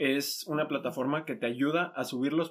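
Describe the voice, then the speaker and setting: Using a plain, everyday voice, a man talks at a fairly slow pace with ordinary pitch variation. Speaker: podcast host. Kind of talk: casual chat. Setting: in person, same room.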